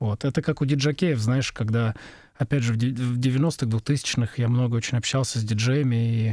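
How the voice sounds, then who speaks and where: On a very clean, dry, close recording with no echo and a silent background, a man of medium pitch talks at a moderate pace. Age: middle-aged. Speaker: sound engineer. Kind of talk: casual chat.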